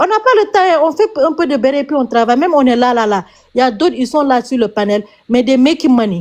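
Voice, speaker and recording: Very fast and with lively intonation, a woman with a Senegalese accent speaks in a high pitch. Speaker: TikTok live streamer. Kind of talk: heated rant on a live stream. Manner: animated.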